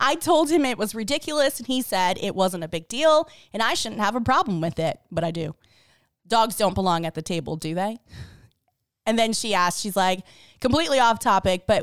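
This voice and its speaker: A woman speaks loudly at a moderate pace and medium pitch, with very wide pitch swings. The recording is very clean, with a silent background. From the Bronx, New York. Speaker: podcast co-host. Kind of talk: casual chat.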